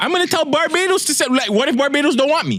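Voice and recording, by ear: A man at an extremely high pitch, fast and with lively intonation, his tone fairly bright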